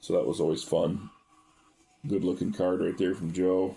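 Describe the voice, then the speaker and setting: Music plays in the background as a man talks. His pitch varies in an ordinary way. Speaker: baseball card collector. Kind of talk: casual chat. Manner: fast.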